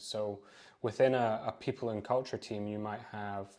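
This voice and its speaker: The tone is dark and mellow. The speaker has a Scottish accent. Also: man, very clean recording, silent background. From Scotland. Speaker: recruiter. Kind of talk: podcast interview.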